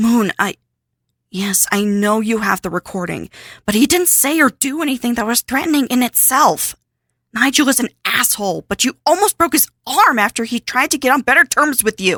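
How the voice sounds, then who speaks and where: A female-sounding, put-on character voice speaks at a high pitch and a moderate pace. The recording is very clean, with a silent background. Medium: audio drama. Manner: earnest, worried.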